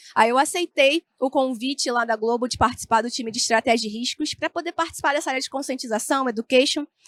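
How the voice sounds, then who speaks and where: Talking at a very fast pace, a woman with a Carioca accent has a high pitch and ordinary pitch variation. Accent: carioca, with the hissing S. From Rio de Janeiro state, Brazil (Niterói). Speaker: information security analyst, speaker. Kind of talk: conference talk. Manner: informal, many fillers.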